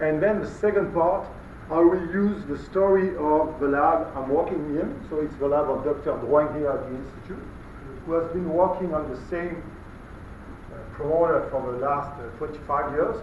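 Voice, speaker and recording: Over noticeable background noise and audible room echo, a man with a French accent talks at a moderate pace in a fairly high pitch with fairly even intonation. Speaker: molecular biology researcher, guest lecturer. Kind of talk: lecture. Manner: halting, many fillers.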